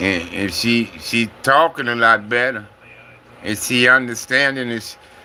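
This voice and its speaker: A man is speaking. Background noise is noticeable. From Compton, Los Angeles. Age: 60s. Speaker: livestreamer. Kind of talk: casual livestream chat. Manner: casual, repetitive.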